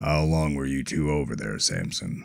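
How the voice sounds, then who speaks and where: Putting on a character voice, a man speaks in a very deep, low pitch with ordinary pitch variation. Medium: read story. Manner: terse, authoritative.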